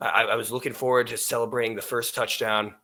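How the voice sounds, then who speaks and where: Loud and bright, sharp in tone, the voice moves at a fairly quick pace. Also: man. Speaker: sports podcast host. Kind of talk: casual sports chat. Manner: loud, high-energy.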